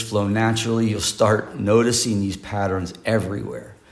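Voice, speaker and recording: With an American accent and a relaxed tone, a man speaks at a fairly low pitch amid audible room echo. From United States. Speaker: English pronunciation teacher. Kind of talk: online lesson. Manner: relaxed, conversational.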